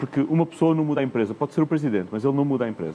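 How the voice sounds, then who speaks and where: A man speaks with a European Portuguese accent at a fairly high pitch. His pitch variation is ordinary. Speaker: corporate executive, panelist. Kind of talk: conference panel discussion. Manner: frequent hesitations and repetitions.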